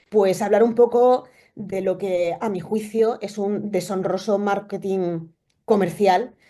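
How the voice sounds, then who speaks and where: A woman's dark, mellow voice with an Extremaduran accent, fairly slow and fairly even in intonation, over a quiet background. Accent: Extremaduran Spanish, noticeable. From Spain, Extremadura (Cáceres). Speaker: immunology researcher. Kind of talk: lecture. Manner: hesitant, many fillers.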